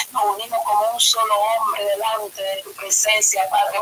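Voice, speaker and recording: A woman talks fairly slowly, with light background noise behind her. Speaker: pastor leading prayer. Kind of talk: intercessory prayer. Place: home room. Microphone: webcam.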